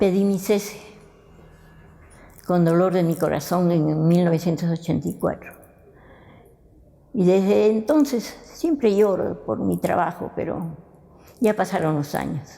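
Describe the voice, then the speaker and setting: Fairly slow with long, frequent pauses, a woman speaks in a fairly low, dark, mellow voice with lively intonation. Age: 80s+. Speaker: retired teacher. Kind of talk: documentary interview.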